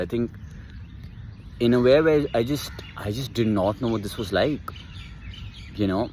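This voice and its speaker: A man with a medium pitch talks while noticeable background noise carries on. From India. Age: 20s. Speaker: vlogger. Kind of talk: casual vlog monologue. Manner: halting, many restarts and fillers.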